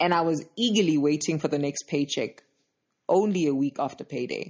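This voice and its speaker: With a very deep, low pitch and lively intonation, a woman talks at a moderate pace on a very clean recording with a silent background. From South Africa, Johannesburg township. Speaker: podcast host, personal finance educator. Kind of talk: solo podcast monologue.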